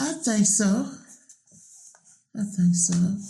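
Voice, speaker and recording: A man's high pitch and lively intonation, with audible room echo. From Virginia, Middlesex County. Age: 60s. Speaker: oral history interviewee. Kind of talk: oral history interview.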